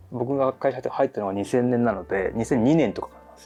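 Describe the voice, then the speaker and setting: With music in the background, a man talks at a fairly quick pace and ordinary pitch variation. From Japan. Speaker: voice actor, actor, narrator. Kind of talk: casual conversation.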